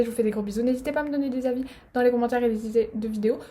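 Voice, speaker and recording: Somewhat breathy and dark, mellow in tone, a woman speaks very fast with monotone, flat intonation. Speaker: vlogger. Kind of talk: casual vlog outro. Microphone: laptop camera recording.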